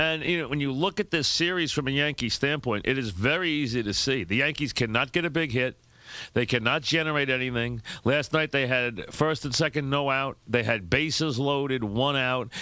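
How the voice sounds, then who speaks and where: This man has a medium pitch, a bright, sharp tone and very even loudness, at a moderate pace with ordinary pitch variation. The recording is very clean, with a silent background. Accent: New York. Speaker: sports radio host. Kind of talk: sports radio monologue, opinionated commentary.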